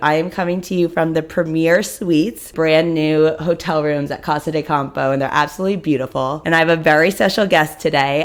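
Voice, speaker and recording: Her voice an ordinary speaking voice, a woman talks at a moderate pace and a fairly low pitch with ordinary pitch variation. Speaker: podcast host. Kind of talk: podcast interview, casual conversation. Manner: upbeat.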